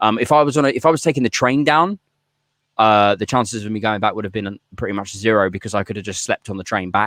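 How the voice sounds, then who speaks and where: Recorded dry and close with no echo, a man talks at a very fast pace with ordinary pitch variation. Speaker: podcast host. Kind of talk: casual chat. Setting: garden shed. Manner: loud; high energy.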